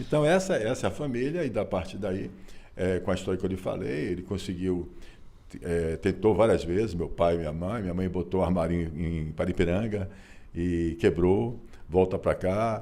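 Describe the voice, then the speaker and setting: A man's dark, mellow tone sits at a very deep, low pitch. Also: ordinary pitch variation, moderate pace. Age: 60s. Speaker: author. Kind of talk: interview. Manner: halting.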